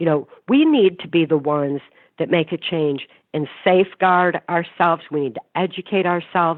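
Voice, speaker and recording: Using a plain, everyday voice, a woman speaks at a moderate pace with fairly low pitch and ordinary pitch variation. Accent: American. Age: 60s. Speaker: mind control survivor and author. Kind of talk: interview.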